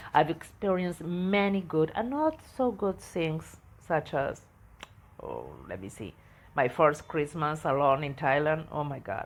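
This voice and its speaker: Speaking with an Argentine accent, a woman has a very deep, low pitch. She goes at a fairly slow pace with lively intonation. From Argentina. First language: Spanish. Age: 60s. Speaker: travel podcaster. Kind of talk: personal storytelling podcast. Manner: halting, with hesitations.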